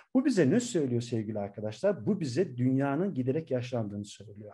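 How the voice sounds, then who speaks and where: Over a quiet background, a man's voice comes through somewhat breathy, with a dark, mellow tone. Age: 40s. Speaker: professor; university professor. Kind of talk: lecture. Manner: hesitant fillers. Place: home room. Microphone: webcam.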